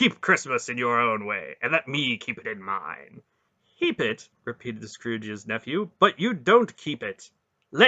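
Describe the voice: Quiet background behind plain reading aloud.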